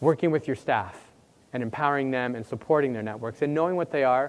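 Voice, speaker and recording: Very fast and with lively intonation, a man speaks in a Canadian accent. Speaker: university administrator, workshop presenter. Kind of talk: conference workshop talk. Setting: conference room with audience. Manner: loud.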